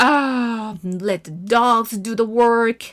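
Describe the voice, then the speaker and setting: A woman puts on a character voice with a fairly high pitch. She growls as she speaks. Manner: growling.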